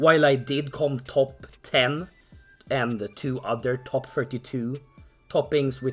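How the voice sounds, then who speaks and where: With music in the background, a man at medium pitch speaks with fairly even intonation. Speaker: card game player. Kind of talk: casual talk to camera.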